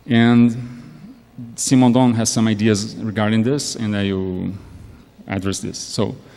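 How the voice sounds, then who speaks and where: In a room with audible echo, a man with a medium pitch speaks with long, frequent pauses. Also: fairly even intonation, fairly slow pace. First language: not English. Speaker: academic panelist. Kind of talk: academic lecture. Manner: halting, many repetitions.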